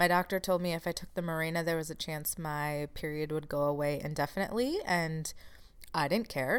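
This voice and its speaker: In an ordinary speaking voice, a woman talks at a fairly low pitch. Her pace is moderate, and her pitch variation is ordinary. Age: 30s. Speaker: podcast host and chronic illness support coach. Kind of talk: solo podcast monologue. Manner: casual, laughs at times.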